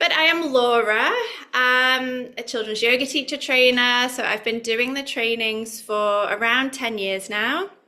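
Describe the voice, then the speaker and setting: A woman with a British accent speaks at a fairly slow pace, her fairly high voice bright and sharp in tone. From UK. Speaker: yoga teacher trainer. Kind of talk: online workshop presentation. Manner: conversational, with fillers.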